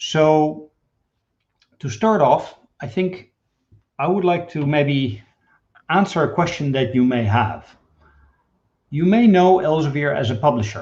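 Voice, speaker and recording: A man with a Dutch accent, fairly high in pitch and somewhat breathy, at a fairly slow pace with lively intonation. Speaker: data management executive. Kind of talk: webinar presentation.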